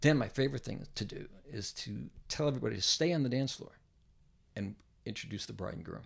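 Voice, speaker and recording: The speaker talks very fast with lively intonation, vocal fry and big swings in loudness. Long, frequent pauses break up the speech. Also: man, medium pitch for a man. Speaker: podcast host. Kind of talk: casual interview chat.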